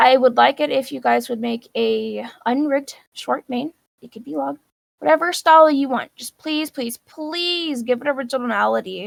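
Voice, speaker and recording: A woman talks at a moderate pace with big swings in loudness, in a dry, close sound with no echo. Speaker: virtual world modding teacher. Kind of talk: tutorial.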